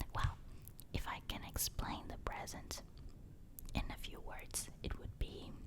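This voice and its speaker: The speech is whispered at a fairly slow pace. Pauses are long and frequent. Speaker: ASMR creator. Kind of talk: whispered ASMR storytelling. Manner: soft-spoken.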